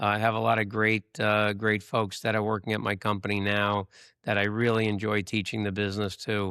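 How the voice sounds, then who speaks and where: Over a very clean recording with a silent background, a man speaks fairly quickly in a fairly low pitch, with a bright, sharp tone, monotone, flat intonation and very even loudness. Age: 60s. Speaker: real estate broker. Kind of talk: podcast interview.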